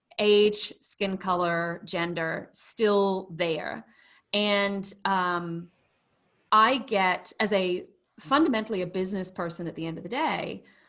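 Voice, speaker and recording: The voice is energetic, with a bright, sharp tone and ordinary pitch variation. It moves at a fairly slow pace on a very clean recording with a silent background. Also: woman. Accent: British. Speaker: business consultant and former tech executive. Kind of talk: interview conversation. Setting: podcast interview.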